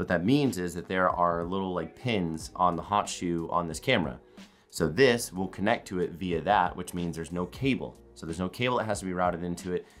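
Faint music sits in the background. The speech moves at a fairly quick pace with ordinary pitch variation. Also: man. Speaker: content creator. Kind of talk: casual vlog chat. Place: home room.

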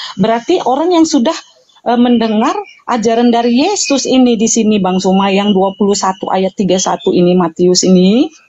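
This woman speaks at a moderate pace with a fairly high pitch and lively intonation. Her loudness stays very even throughout. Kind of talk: debate. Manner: halting.

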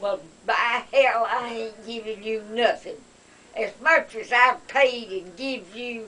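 A woman with a Southern US accent, a fairly high pitch, a very slow pace and fairly even intonation. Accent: Southern American. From Southern United States. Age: 80s+. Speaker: elderly relative. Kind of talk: heated family argument. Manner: sharp-tongued, combative. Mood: irritated, scolding. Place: home room. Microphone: camera far.

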